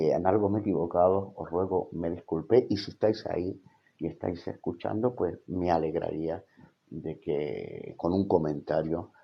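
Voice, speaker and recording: Very deep and low, this man's voice carries ordinary pitch variation at a fairly slow pace. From Spain. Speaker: theology college rector and evangelical teacher. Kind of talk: livestream Bible teaching. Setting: live stream on social media. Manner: hesitant, many fillers.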